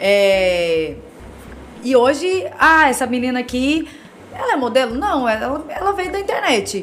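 A woman's high-pitched voice with very wide pitch swings at a fairly slow pace, with audible room echo and noticeable background noise. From Goiás, Brazil. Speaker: model and digital influencer. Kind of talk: casual interview. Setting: studio.

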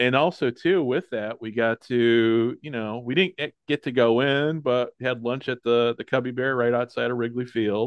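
With a plain, everyday voice, a man speaks at medium pitch and a moderate pace, his intonation fairly even and hardly any pauses. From US Midwest, Chicago area. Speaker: podcast host. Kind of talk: casual chat. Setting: remote call.

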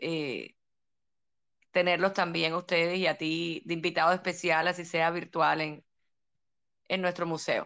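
Over a quiet background, a woman with a fairly low pitch speaks at a moderate pace in a monotone, flat intonation, leaving long, frequent pauses. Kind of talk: casual chat. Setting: live audio chat room.

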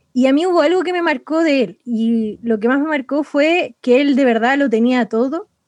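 A woman speaks with a high voice in a Chilean accent. She keeps a moderate pace with ordinary pitch variation and hardly any pauses. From Chile, Santiago (San Bernardo). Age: 20s. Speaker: missionary. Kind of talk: interview testimony.

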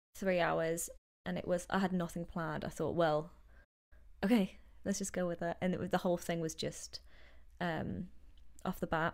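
Using vocal fry and a monotone, flat intonation, a woman with a fairly low pitch talks at a moderate pace broken by long, frequent pauses. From northeast England (Newcastle). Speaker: DJ and radio show host. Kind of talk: casual interview.

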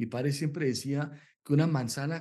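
Over a quiet background, the voice has a dark, mellow tone. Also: man. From Colombia, Bogotá. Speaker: novelist. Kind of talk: interview. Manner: halting.

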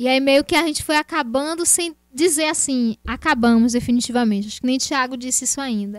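Her voice high-pitched with ordinary pitch variation, a woman talks at a fairly quick pace with hardly any pauses. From Brazil, Feira de Santana, Bahia. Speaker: actress. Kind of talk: casual interview.

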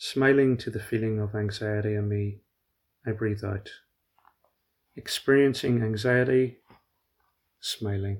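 A man speaks in a gentle, calm tone with flat, monotone intonation at a fairly slow pace, pausing long and often. The recording is very clean, with a silent background. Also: fairly low pitch for a man. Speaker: meditation guide. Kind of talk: guided meditation. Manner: slow, calm, soothing; gentle, with long pauses.

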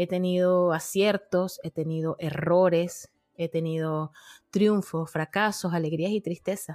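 In a dry, close recording with no echo, a woman speaks in a fairly low pitch with monotone, flat intonation. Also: fairly slow pace. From Venezuela, Margarita Island. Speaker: podcaster. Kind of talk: interview conversation.

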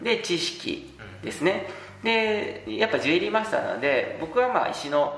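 Room echo is audible around a man's voice, along with noticeable background noise. His pace is moderate. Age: 40s. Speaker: traditional gemstone carver. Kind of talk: casual interview.

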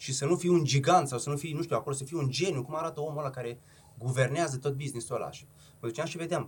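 Very fast and somewhat breathy, a man's voice sits at a fairly high pitch. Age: 30s. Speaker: entrepreneur, restaurant chain founder. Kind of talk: casual chat.

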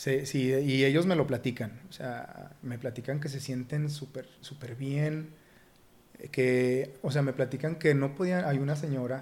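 The man has a fairly high pitch and fairly even intonation. His pace is fairly slow. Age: 30s. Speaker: fitness coach and former pro footballer. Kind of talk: casual interview. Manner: halting, many repetitions.

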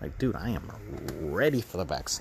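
A man talks with noticeable background noise present. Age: late 20s. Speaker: solo podcaster. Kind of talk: casual monologue. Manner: rambling, halting with fillers.

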